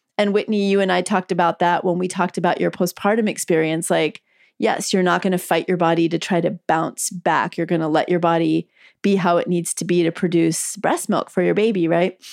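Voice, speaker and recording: A woman talks at a fairly quick pace in an ordinary speaking voice, fairly low in pitch with fairly even intonation. The sound is dry and close with no echo, and the loudness stays very even. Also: quiet background. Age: 50s. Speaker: physician and author. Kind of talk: interview. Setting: video call from home.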